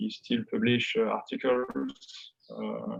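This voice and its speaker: With a French accent, a man speaks at a very slow pace. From France. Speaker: economics professor. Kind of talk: academic interview. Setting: video call. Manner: halting, many hesitations.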